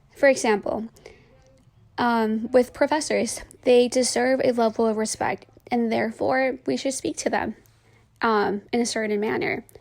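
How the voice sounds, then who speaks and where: Pausing often and at length, a woman talks at a moderate pace in a fairly high voice with ordinary pitch variation. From San Francisco Mission District, California. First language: Spanish. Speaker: college student. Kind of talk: personal narrative. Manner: hesitant, many fillers.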